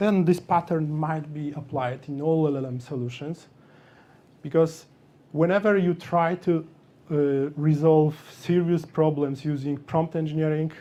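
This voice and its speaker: A man with a non-native accent, fairly high in pitch, with a dark, mellow tone, fairly even intonation and a fairly slow pace. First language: not English. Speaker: software developer speaker. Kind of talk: meetup tech talk. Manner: halting.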